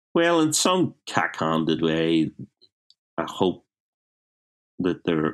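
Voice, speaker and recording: A man with a Belfast accent on a very clean recording with a silent background. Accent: Belfast Northern Irish. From Northern Ireland, West Belfast. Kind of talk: casual interview. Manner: halting, repetitive.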